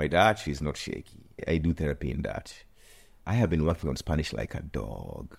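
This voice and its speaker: A man's very deep, low voice with vocal fry, lively intonation and a moderate pace. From Kenya. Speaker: musician and fashion creative. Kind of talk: casual interview. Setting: on location in Mallorca. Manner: animated.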